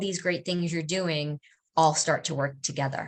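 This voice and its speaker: This woman has a normal speaking voice, fairly low in pitch, with fairly even intonation. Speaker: nutrition coach. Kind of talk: lecture.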